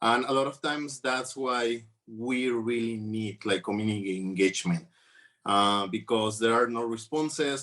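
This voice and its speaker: A man with a Mexican accent, medium pitch with ordinary variation, a bright, sharp tone, moderate pace and a quiet background. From Mexico. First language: Spanish. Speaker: trafficking survivor advocate. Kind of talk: conference panel talk. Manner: halting, many fillers.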